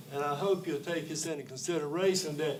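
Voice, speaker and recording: A fairly high-pitched man with a Southern US accent at a fairly quick pace, with noticeable background noise and audible room echo. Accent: US South. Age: 70s. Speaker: public commenter. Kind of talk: public comment at council meeting. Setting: county council meeting.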